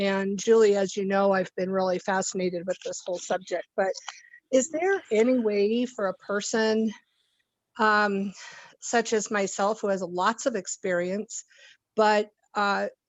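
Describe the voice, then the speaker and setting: A woman with an ordinary speaking voice talks at medium pitch. Her pace is fairly slow and her intonation fairly even. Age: 60s. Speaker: audience member asking a question. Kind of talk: audience question.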